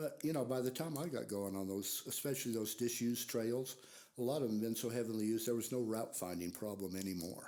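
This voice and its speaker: Someone with an American accent talks at a very fast pace in a dark, mellow tone. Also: man, medium pitch for a man, ordinary pitch variation. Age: 70s. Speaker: librarian and curator. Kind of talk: interview conversation.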